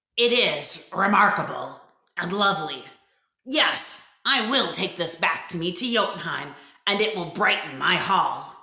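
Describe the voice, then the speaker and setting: A raspy put-on character voice comes through at a moderate pace with a slight echo. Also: woman, medium pitch for a woman. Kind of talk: read-aloud character voice. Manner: gloomy, grumbling, wistful.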